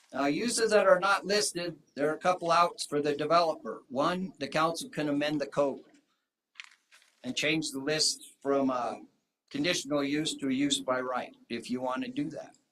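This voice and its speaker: Delivered at a moderate pace, this is a plain, everyday voice with ordinary pitch variation. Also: man, fairly high pitch for a man. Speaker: public commenter at town council. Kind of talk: public comment. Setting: town council meeting.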